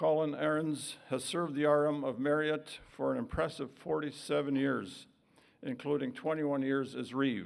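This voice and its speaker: A man with a fairly high voice talks at a moderate pace with ordinary pitch variation. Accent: Canadian. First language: Woodland Cree. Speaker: vice-regal dignitary. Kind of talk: formal speech. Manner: formal.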